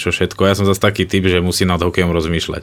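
On a very clean recording with a silent background, a man speaks at a very deep, low pitch with monotone, flat intonation. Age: 30s. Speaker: professional ice hockey player. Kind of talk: interview.

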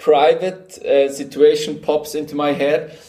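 A man with a Swiss German accent speaks at a fairly high pitch. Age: 30s. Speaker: company co-founder. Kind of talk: interview. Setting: video call. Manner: energetic.

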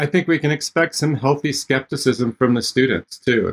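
The voice moves at a moderate pace in a dry, close sound with no echo. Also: man. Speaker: instructional designer. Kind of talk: podcast interview about teaching with video conferencing.

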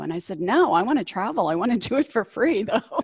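A woman at a fairly quick pace. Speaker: cruise travel agent and former ship crew member. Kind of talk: casual interview, telling stories. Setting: video call.

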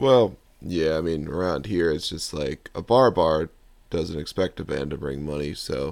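A man speaks at an extremely low pitch, his slightly mellow tone carrying vocal fry.

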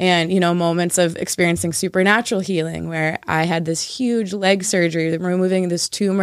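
A woman with an unremarkable speaking voice talks at a moderate pace, fairly low in pitch and with fairly even intonation, on a very clean recording with a silent background. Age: 20s. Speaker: church worship director. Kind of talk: casual chat.

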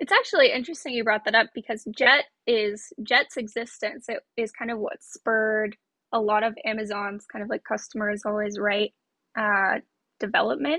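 A woman with a plain, everyday voice talks at a moderate pace. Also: fairly high pitch for a woman, ordinary pitch variation. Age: 20s. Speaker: solutions consultant in fraud prevention. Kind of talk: casual interview.

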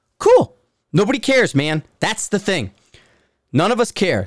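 The speaker moves at a fairly slow pace, with lively intonation. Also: man. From US Northeast, Bridgeport, Connecticut. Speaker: podcast host, former Marine sniper. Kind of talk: angry, profane solo rant about forum critics. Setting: at home. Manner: wound-up, combative and sarcastic; blunt and forceful, calling it like he sees it.

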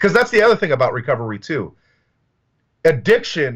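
Speaking with an American accent, a man talks at a very fast pace. His voice is somewhat breathy against a quiet background. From US South. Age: 30s. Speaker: recovering addict. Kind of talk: personal testimony. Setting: video call.

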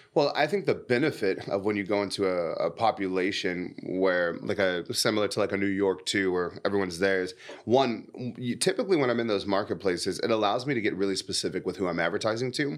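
A man with a Californian accent talks at a very fast pace with hardly any pauses, in an animated tone. His pitch is fairly low with ordinary variation, on a very clean recording with a silent background. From San Diego, California. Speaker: podcast host and marketer. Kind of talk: casual interview.

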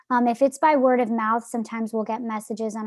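With an American accent, a woman uses a plain, everyday voice, fairly high in pitch with fairly even intonation, in a dry, close recording with no echo. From New Jersey. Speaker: nonprofit founder. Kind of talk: interview.

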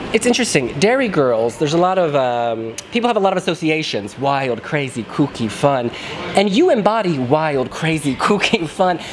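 Noticeable background noise is present. The speech moves at a moderate pace. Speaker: interviewer. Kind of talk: casual interview chat. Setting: press room interview.

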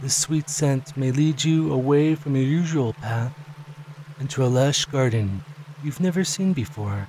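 A man's fairly high voice in a calm, soothing tone, at a fairly slow pace with ordinary pitch variation, over noticeable background noise. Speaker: hypnosis audio creator. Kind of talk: guided hypnosis induction. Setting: recorded audio for solo listening. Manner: slow, soothing, hypnotic, with gentle pauses; calm, soft-spoken, dreamy.

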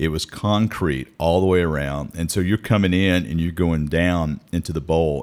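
A man with an American accent and a very deep, low pitch talks at a fairly slow pace with ordinary pitch variation. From US South, Mississippi (Meridian). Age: 40s. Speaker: podcast host. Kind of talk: casual chat. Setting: studio.

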